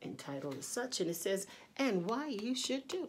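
A woman's fairly slow speech with very wide pitch swings over light background noise. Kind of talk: poetry reading. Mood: joyful, worshipful. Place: home room. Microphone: phone near.

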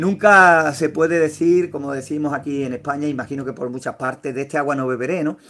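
With hardly any pauses, a man talks in a bright, sharp tone at a fairly high pitch for a man. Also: ordinary pitch variation, fairly quick pace. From Andalusia, Spain (Sevilla). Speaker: YouTuber, homemade incubator builder. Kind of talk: live stream with viewer chat. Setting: at home. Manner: hesitant, frequent fillers.

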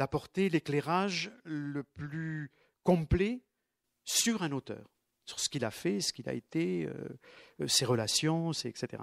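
Intonation from this man is lively. He keeps to a very slow pace. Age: 70s. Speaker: literature teacher and author. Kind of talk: book talk to an audience. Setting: bookshop event with audience. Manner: halting.

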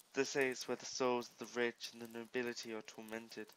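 A normal speaking voice comes through at a middling tempo. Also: man. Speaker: gaming YouTuber. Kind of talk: casual gaming commentary with dramatic reading aloud of player-written stories. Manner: casual, chatty, self-deprecating.

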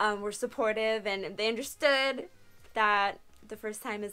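A woman at medium pitch, with a bright, sharp tone, a moderate pace and ordinary pitch variation.

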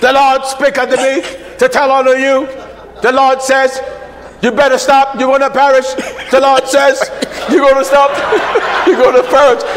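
In a put-on character voice, a man speaks at an extremely high pitch with monotone, flat intonation and a robotic quality. His pace is moderate, and clear background noise is present. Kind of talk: preacherly, archaic. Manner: mocking, pompous.

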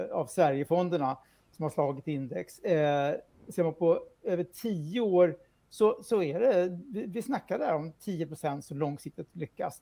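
A man speaks at a moderate pace with a high-pitched voice. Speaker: financial journalist. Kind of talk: news interview. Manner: halting. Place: home room. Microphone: video call.

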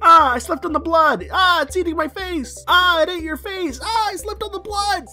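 A voice at an extremely high pitch talks at a moderate pace with hardly any pauses over light background noise. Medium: voice reel.

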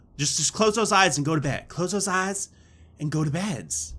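A man with a high pitch, a bright, sharp tone and a moderate pace. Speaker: gaming YouTuber. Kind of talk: let's play commentary. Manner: animated.

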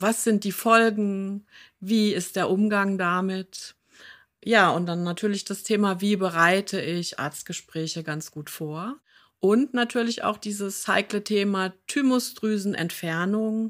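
Very slow woman's voice at medium pitch with ordinary pitch variation, on a very clean recording with a silent background. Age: 50s. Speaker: patient advocate and podcast host, former occupational therapist. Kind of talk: interview conversation.

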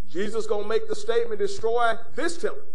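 There is light background noise as the man talks. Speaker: preacher. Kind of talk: sermon. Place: church.

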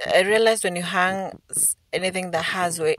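A woman speaks against a quiet background, and the sound is dry with no echo. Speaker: home vlogger. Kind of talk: casual vlog narration.

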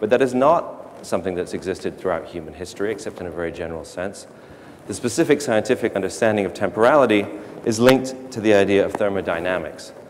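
A man's fairly low voice, very fast with lively intonation, over light background noise. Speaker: speaker. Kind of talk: lecture. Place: stage.

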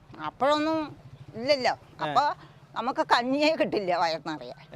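Very wide pitch swings mark the delivery of a woman speaking at a high pitch. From Palakkad, Kerala. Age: 70s. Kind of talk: interview answer.

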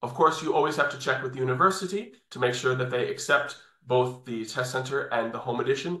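A man with a New York accent at a fairly quick pace, ordinary pitch variation, audible room echo and a quiet background. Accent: New York American. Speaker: English test training coordinator. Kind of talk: webinar presentation. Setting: video call. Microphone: video call.

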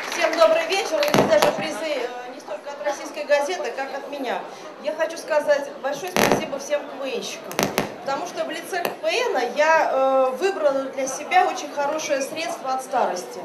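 A woman speaks with ordinary pitch variation over loud background noise. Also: moderate pace. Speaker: news presenter. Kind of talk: award speech. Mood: warm, playful. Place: stage. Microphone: handheld.

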